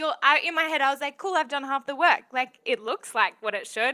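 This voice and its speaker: A woman with an Australian accent, high-pitched and animated, in a raised, projected voice with a bright, sharp tone and a fairly quick pace. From Western Australia (Bunbury). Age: 20s. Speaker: young app founder. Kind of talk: casual interview.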